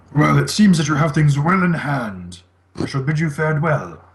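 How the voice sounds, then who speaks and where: Using a put-on character voice, a man sounds gruff at a fairly high pitch and a moderate pace. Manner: formal, dismissive.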